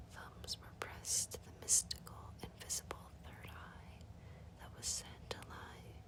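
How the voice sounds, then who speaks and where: Noticeable background noise fills the clip. A whisper moves along at a very slow pace. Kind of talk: ASMR book reading. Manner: whispered, soft-spoken.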